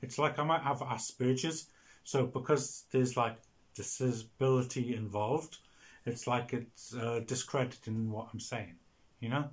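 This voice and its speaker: With a Welsh accent, a man talks at a moderate pace in a somewhat breathy, medium-pitched voice, his intonation fairly even, on a very clean recording with a silent background. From Wales. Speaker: video blogger. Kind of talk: casual monologue. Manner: halting.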